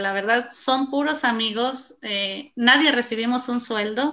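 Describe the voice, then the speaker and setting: The voice has a bright, sharp tone, fairly even intonation, and a fairly slow pace. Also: woman. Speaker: basketball referee and sports association organizer. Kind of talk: interview.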